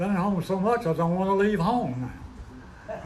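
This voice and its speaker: A man's voice comes through with audible room echo and noticeable background noise around it. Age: 90s. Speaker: recovery meeting speaker. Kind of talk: testimony.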